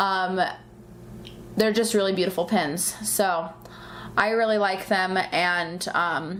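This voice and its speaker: In a room with audible echo, a woman at a medium pitch speaks very slowly with very even loudness and long, frequent pauses. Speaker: pin collecting youtuber. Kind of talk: casual chat. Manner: animated.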